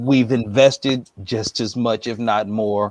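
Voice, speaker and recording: A man speaks with a normal speaking voice at a medium pitch. His intonation is fairly even. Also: dry, close sound with no echo. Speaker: interviewer, channel host. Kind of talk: interview question.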